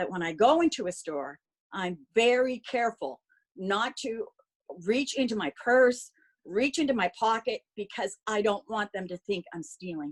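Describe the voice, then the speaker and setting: A woman with a Nova Scotian accent speaks at a moderate pace and a fairly high pitch, her pitch swinging very widely, in a dry, close sound with no echo. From Nova Scotia, Sackville. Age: 60s. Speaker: phlebotomist. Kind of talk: testimony.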